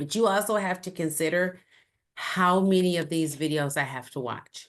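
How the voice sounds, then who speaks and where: A woman with an ordinary speaking voice talks at a moderate pace in a fairly low pitch, with ordinary pitch variation. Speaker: university instructor. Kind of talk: lecture.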